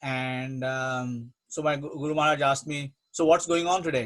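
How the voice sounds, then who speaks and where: A man speaks with an Indian accent. His pitch is fairly high, with ordinary variation. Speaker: spiritual teacher. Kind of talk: religious talk, Q&A. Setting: online program.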